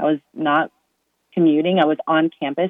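In an American accent, a woman speaks with a very deep, low pitch, fairly even intonation, and a moderate pace. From Massachusetts. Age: 20s. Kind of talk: interview.

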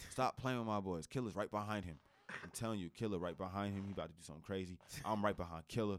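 With an American accent, a man of fairly low pitch talks very fast in an animated tone, with big swings in loudness and ordinary pitch variation. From New Jersey. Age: 20s. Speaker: comedian and social media creator. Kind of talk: casual chat. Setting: studio.

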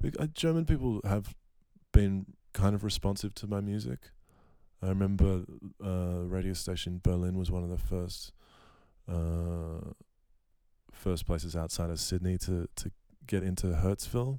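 Recorded very cleanly against a silent background, a man with an Australian accent speaks at a moderate pace in a very deep, low pitch and a dark, mellow tone, using ordinary pitch variation and long, frequent pauses. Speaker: musician. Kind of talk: casual interview.

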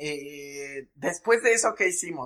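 A man speaks with a Mexican accent. His fairly high voice makes very wide pitch swings. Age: 20s. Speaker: podcast co-host. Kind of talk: casual chat.

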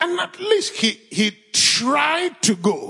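In a Nigerian accent, a man talks at a very slow pace with very wide pitch swings. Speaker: pastor. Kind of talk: fervent prayer, spoken to God. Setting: church with live audience. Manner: earnest, impassioned, pleading.

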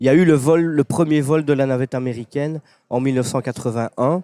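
The sound is dry and close, with no echo. A man speaks in a dark, mellow tone with fairly even intonation. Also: very clean recording, silent background. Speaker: space enthusiast and author. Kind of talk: casual interview. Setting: brasserie.

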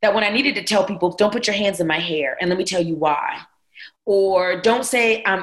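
A woman's medium-pitched voice with an American accent, at a very fast pace with ordinary pitch variation. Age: 40s. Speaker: pastor. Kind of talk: casual chat.

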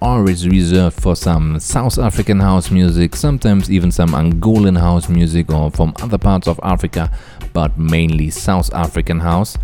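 Over background music, a man talks with a very deep, low pitch. His pace is moderate and his intonation lively. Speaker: radio host. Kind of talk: radio DJ patter introducing tracks. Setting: radio studio. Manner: upbeat, smooth, friendly.

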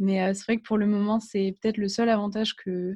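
A woman speaks at a medium pitch with a dark, mellow, somewhat breathy tone. Her intonation is monotone and flat against a quiet background. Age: 20s. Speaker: guest with agoraphobia. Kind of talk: interview testimony. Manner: halting.

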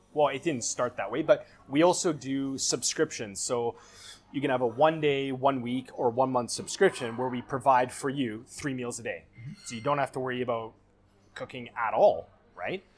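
A plain, everyday voice in a Canadian accent, at a moderate pace with ordinary pitch variation. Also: man, medium pitch for a man. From Canada, Vancouver. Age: 30s. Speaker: chef. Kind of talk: casual chat.

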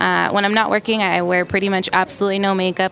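A woman speaks with an American accent in a flat, monotone delivery. Noticeable background noise runs under her voice. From Los Angeles, US. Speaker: makeup artist. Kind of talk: interview. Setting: in a store.

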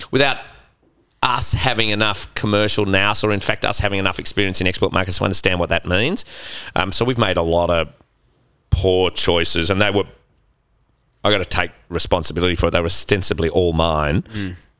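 In a very clean recording with a silent background, a man with an Australian accent and a very deep, low pitch talks at a fairly quick pace in a bright, sharp tone, with fairly even intonation and long, frequent pauses. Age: 50s. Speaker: gin distillery co-founder. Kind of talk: casual interview. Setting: in a bar.

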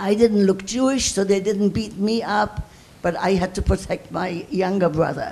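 The speaker keeps a moderate pace. Background noise is noticeable. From Germany, Breslau. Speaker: audience member, Holocaust survivor. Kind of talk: audience question, testimony. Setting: lecture hall with audience.

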